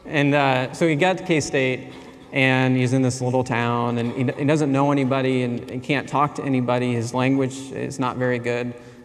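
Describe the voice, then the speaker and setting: In a room with audible echo and noticeable background noise, a man speaks at medium pitch with monotone, flat intonation. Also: moderate pace. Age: 40s. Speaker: anthropology professor. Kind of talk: conference keynote.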